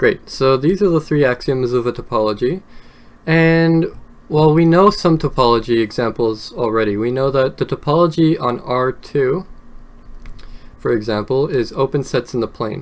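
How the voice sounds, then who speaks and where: The man's pitch moves in an ordinary way. It sits at a medium level. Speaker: math lecturer. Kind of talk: lecture. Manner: slow; hesitant, many fillers.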